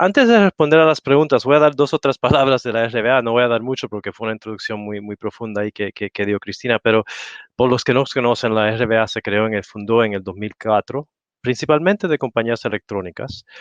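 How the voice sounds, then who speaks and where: A man with a non-native accent talks at a very fast pace in a medium pitch with ordinary pitch variation. The sound is dry and close, with no echo. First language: not Spanish (speaking Spanish). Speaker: industry association representative. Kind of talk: panel talk. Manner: halting.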